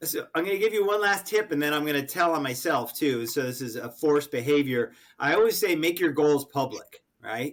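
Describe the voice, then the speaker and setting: A man with an American accent speaks fairly quickly in a plain, everyday voice, fairly high in pitch with lively intonation. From Connecticut. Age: 60s. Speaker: sales coach and author. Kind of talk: podcast interview.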